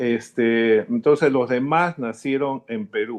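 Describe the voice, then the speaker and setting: A man's voice with ordinary pitch variation. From Peru, Lima. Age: 70s. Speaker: interviewee, descendant of Italian immigrants. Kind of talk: interview. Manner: halting, many fillers.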